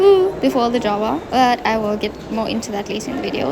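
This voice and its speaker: Over music in the background, a woman with a fairly high pitch speaks at a fairly quick pace, her pitch swinging very widely. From South Africa. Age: 20s. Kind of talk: travel vlog voice-over. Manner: casual, chatty.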